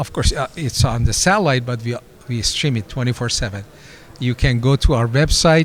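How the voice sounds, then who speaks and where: Noticeable noise fills the background as a man talks at a moderate pace, medium in pitch, his pitch varying in an ordinary way. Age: 60s. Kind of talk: interview. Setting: convention interview.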